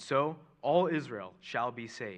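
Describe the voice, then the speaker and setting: Against a quiet background, a man's fairly high, bright, sharp voice carries vocal fry and lively intonation. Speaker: scripture reader. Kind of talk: reading scripture aloud. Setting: church.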